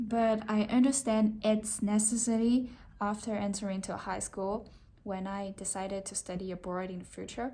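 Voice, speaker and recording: A woman with a Chinese accent talks at a moderate pace and medium pitch, somewhat breathy. Her intonation stays monotone and flat. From China, Shanghai. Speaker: design student. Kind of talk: self-introduction. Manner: halting.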